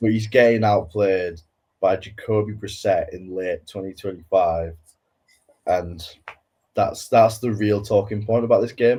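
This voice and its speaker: A man's fairly low, dark, mellow voice, somewhat breathy, with a Welsh accent, fairly even intonation, a fairly slow pace and long, frequent pauses. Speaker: football podcast co-host. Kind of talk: casual chat.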